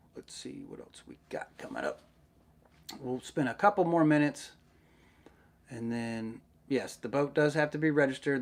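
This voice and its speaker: A man with a Southern US accent and a fairly high pitch speaks at a fairly slow pace with ordinary pitch variation. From Middle Tennessee, US South. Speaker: YouTuber, underwater search diver. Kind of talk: live stream Q&A chat. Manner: casual, hesitant with many fillers.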